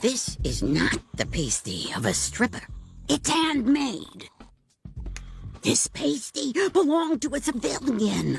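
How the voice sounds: Over faint background music, a man puts on a cartoonish character voice at a high pitch, going fairly slowly with long, frequent pauses.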